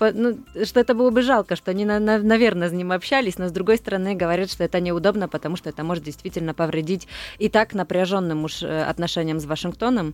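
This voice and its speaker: Speaking at a very fast pace in a Polish accent, a woman uses a medium pitch with ordinary pitch variation. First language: Polish (speaking Russian). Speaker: foreign TV correspondent. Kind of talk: radio interview discussion. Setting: studio. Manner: halting.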